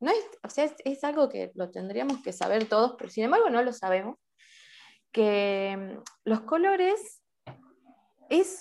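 Speaking very slowly with long, frequent pauses, a woman's high voice swings very widely in pitch. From Salta, Argentina. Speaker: amateur photographer and video artist. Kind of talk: interview.

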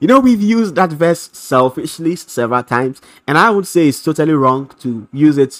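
This man's pitch is fairly high, and his intonation is lively. He talks at a moderate pace in an animated tone. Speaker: preacher. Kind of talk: sermon with prayer; fervent prayer, healing invocation. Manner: fervent, impassioned, rhythmic repetition; animated, emphatic.

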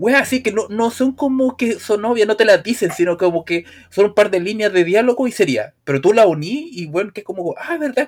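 With a Chilean accent, a man speaks in a high pitch with lively intonation. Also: fairly quick pace, hardly any pauses. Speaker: video game podcast co-host. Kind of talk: casual chat.

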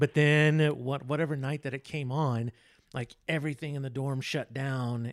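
On a very clean recording with a silent background and a dry, close sound with no echo, a man with an American accent speaks in a fairly high pitch with monotone, flat intonation. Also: moderate pace. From Texas. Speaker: photographer and former TV news director. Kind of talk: casual chat.

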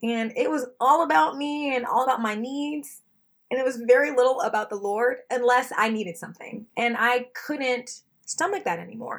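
A woman's animated, high-pitched voice at a moderate pace with ordinary pitch variation. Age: 30s. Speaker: ultimate player and equity consultant. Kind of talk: interview.

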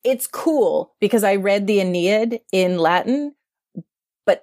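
An ordinary speaking voice with an American accent, fairly slow pace and lively intonation, in a dry, close recording with no echo. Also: woman. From US East Coast, suburbs of Philadelphia. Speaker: media entrepreneur and former magazine editor. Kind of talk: casual interview.

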